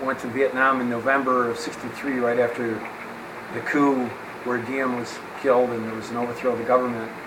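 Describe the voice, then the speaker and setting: In a flat monotone at medium pitch, a man with an American accent speaks amid noticeable background noise and audible room echo. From central New York (Syracuse). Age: 70s. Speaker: war veteran and strength coach. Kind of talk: interview.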